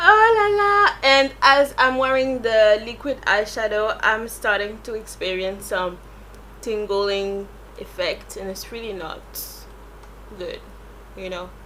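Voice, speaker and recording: Noticeable background noise sits under a woman talking at a very slow pace with long, frequent pauses. Her loudness swings a lot. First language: French. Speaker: beauty vlogger. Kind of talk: product review. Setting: home recording at night.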